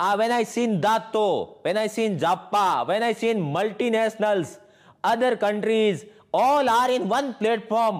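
Against a quiet background, a man with an Indian accent talks at a fairly slow pace, his high voice showing ordinary pitch variation. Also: very even loudness. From Jodhpur, Rajasthan, India; Rajasthan, India. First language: Hindi. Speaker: network marketing distributor. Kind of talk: motivational speech. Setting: online event. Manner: animated. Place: home room. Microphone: lapel.

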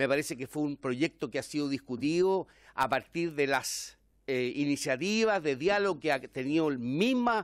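A man's voice swings very widely in pitch, with a dry sound with no echo and a quiet background. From Chile. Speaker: member of parliament. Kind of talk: parliamentary debate. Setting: parliamentary committee room. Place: meeting room. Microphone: podium.

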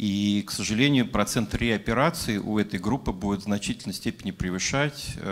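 This is a man with a fairly low pitch. His pitch variation is ordinary. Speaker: plastic surgeon. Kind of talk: audience question at panel. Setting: conference hall with audience. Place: hall. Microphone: handheld.

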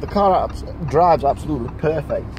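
The sound is dry with no echo, set against noticeable background noise. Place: car.

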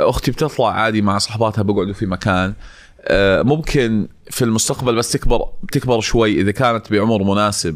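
A man speaks at a medium pitch and moderate pace, in an unremarkable speaking voice. The recording is very clean, with a silent background. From Jordan. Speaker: social media entrepreneur. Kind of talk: casual chat.

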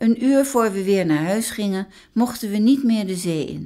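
A woman's dark, mellow tone carries lively intonation at a moderate pace in a very clean recording with a silent background. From The Hague, Netherlands. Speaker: storyteller sharing memories. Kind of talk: reading aloud a personal memoir.

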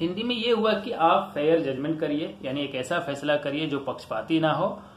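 A man's fairly high voice with lively intonation at a moderate pace, amid noticeable background noise and audible room echo. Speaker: YouTuber explaining current affairs. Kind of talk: explainer talk. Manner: informal, repetitive with frequent fillers.

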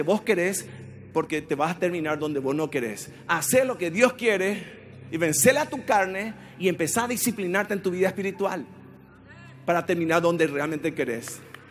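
Over light background noise, a man with a high pitch and an animated tone speaks at a moderate pace with long, frequent pauses. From Paraguay. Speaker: pastor. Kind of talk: sermon. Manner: animated, forceful, exhorting the congregation; rhetorical questions with colloquial jabs. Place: church. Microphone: handheld.

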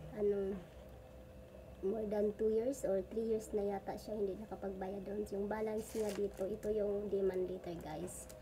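A somewhat breathy, dark and mellow tone at a moderate pace, with monotone, flat intonation. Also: woman, medium pitch for a woman. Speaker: vlogger, stay-at-home mother. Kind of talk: casual vlog monologue. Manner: halting, many fillers.

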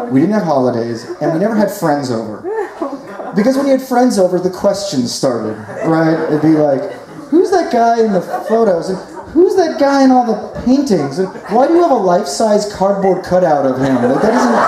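A man talks at a moderate pace amid noticeable background noise, with audible room echo. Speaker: stand-up storyteller. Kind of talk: comedic monologue. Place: tent.

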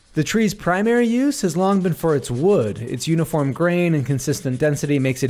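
Recorded very cleanly against a silent background, a man speaks with an unremarkable speaking voice. His intonation is lively and his pace fairly quick. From Utah. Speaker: woodworker and content creator. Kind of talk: scripted narration.

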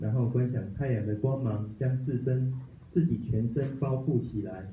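A man talks at a fairly slow pace with a dark, mellow, somewhat breathy tone and fairly even intonation. Audible room echo and light background noise surround his voice. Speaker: study group member. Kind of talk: reading aloud. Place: meeting room.

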